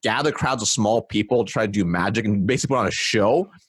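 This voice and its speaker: A man talks at a fairly quick pace in an animated tone. His voice carries vocal fry. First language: not English. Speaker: sales and marketing expert. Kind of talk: interview. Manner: many fillers and restarts.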